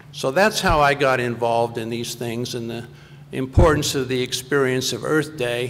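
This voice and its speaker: A man at medium pitch and moderate pace, fairly even intonation, with noticeable background noise. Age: 60s. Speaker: conservation advocate. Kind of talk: panel talk.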